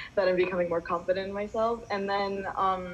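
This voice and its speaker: At a moderate pace, a woman with an American accent speaks with fairly even intonation at medium pitch. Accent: American-sounding. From Indonesia. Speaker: intern. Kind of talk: team meeting update.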